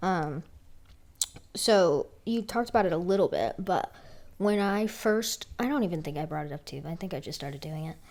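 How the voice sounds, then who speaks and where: A woman speaks at a fairly quick pace in a medium pitch. Hers is an ordinary speaking voice, with lively intonation. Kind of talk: casual chat.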